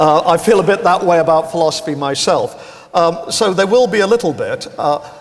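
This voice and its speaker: Over noticeable background noise, a man speaks at a high pitch with ordinary pitch variation. He moves at a fairly quick pace with hardly any pauses. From northern England (Pontefract, Yorkshire). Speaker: philosophy professor. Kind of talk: public lecture.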